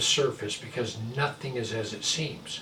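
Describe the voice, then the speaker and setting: A man is speaking. Background noise can be clearly heard. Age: 60s. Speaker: pastor. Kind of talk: sermon.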